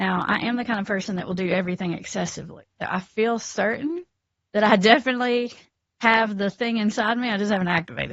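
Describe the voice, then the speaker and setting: Talking at a very fast pace with a South Carolina accent, a woman uses a fairly high pitch and ordinary pitch variation. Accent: Southern US (South Carolina). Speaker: addiction counselor. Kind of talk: podcast interview.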